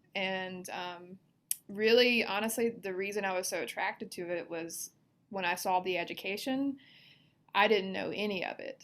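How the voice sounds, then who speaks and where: Against a silent background on a very clean recording, a woman with a Southern US accent speaks at a moderate pace, her pitch medium with ordinary variation. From US South, Mississippi. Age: 30s. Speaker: financial advisor. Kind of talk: podcast interview. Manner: casual, with many fillers.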